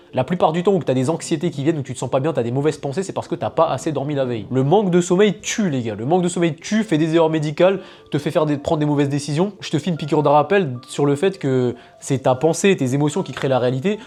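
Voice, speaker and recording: Over music in the background, a man with a fairly high pitch speaks at a very fast pace in an animated tone with ordinary pitch variation. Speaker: fitness and health coach. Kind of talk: advice monologue to camera. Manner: casual, animated.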